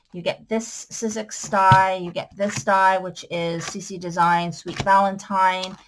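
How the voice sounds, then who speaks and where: With noticeable background noise, the voice moves at a fairly slow pace with hardly any pauses, its intonation monotone and flat while loudness swings widely. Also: woman. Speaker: crafter selling supplies. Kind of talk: sales pitch. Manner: casual, with fillers.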